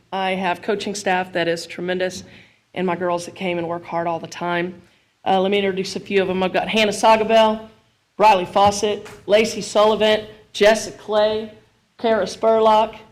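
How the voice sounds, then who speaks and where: The woman's medium-pitched voice stays monotone and flat, moving at a moderate pace. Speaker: high school softball coach. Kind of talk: award presentation speech. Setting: school board meeting with microphone. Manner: loud.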